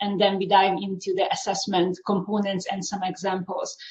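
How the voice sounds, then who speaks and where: A woman in a Hungarian accent, speaking at a fairly slow pace. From Hungary. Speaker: university instructor. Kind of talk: panel presentation.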